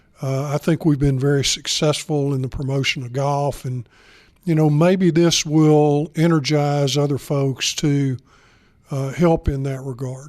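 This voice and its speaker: A man with a fairly high voice and a Southern US accent, talking fairly slowly in a flat monotone, on a very clean recording with total silence behind him. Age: 70s. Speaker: retired bank executive. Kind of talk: interview. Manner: halting, many fillers.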